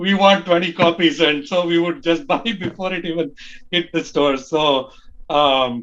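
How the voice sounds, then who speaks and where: A man talks at a fairly slow pace in a Tamil accent. His pitch is high, with ordinary variation. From India, Bangalore. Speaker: early fan group leader. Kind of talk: podcast interview.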